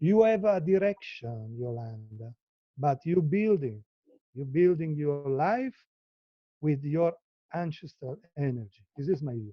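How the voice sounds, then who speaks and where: In an Italian accent, a man speaks at a fairly slow pace with lively intonation and long, frequent pauses. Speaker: live artist. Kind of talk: casual chat. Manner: halting.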